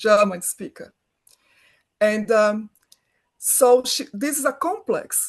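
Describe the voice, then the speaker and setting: A woman with a Brazilian accent speaks very slowly in a high pitch, with lively intonation and long, frequent pauses. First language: Portuguese. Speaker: film director, writer, producer. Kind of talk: interview answer.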